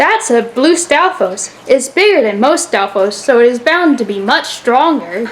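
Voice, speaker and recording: Putting on a character voice, a woman speaks high-pitched at a moderate pace. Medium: read story.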